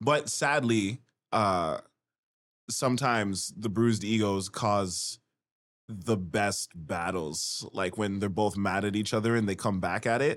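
A man speaks slowly, at a fairly slow pace, in an ordinary speaking voice with a fairly low pitch and ordinary pitch variation. The recording is very clean, with a silent background. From Canada. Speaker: rapper. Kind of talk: casual chat.

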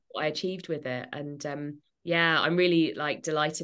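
Against a quiet background, a woman with an English accent speaks in a monotone, flat way. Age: 30s. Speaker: author and journalist. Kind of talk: interview.

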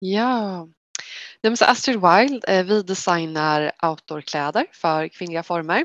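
A woman at a medium pitch and a very slow pace, with lively intonation, a dry, close sound with no echo and a quiet background. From Sweden, Västervik in Småland. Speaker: clothing company co-founder. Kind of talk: podcast interview.

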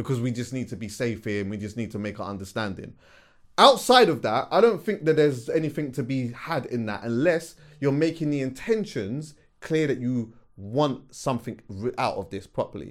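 A man's animated voice with a London accent, lively intonation and a fairly quick pace, in a very clean recording with a silent background. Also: medium pitch for a man. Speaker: podcast co-host. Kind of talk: casual chat.

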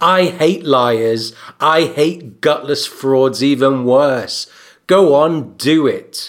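In a put-on character voice, a man growls in a gruff, fairly high-pitched tone at a very slow pace. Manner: bitter, demanding.

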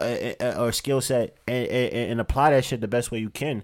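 A man is talking here. The pitch of his voice is medium. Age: 30s. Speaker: podcast host. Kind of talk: casual chat.

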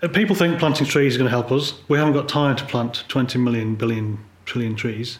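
At a fairly quick pace, a man speaks in a medium pitch that sounds somewhat breathy. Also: ordinary pitch variation. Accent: English. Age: 50s. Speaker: polar photographer. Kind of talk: interview conversation. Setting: living room.

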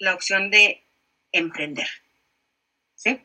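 Lively intonation in a woman's bright, sharp tone. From Mexico, Monterrey. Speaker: digital marketing consultant and entrepreneur. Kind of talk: casual interview.

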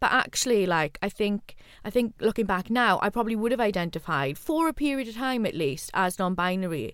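In a very clean recording with a silent background, a woman with a South Wales Valleys accent talks fairly quickly at a medium pitch, with very wide pitch swings and very even loudness. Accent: Welsh (Valleys). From Wales, Rhondda. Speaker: podcast host, university lecturer, former gig promoter. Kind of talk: casual chat.

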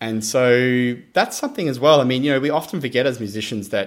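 With an Australian accent, a man talks at a moderate pace in a medium pitch with ordinary pitch variation. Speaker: percussionist and artistic director. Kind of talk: interview.

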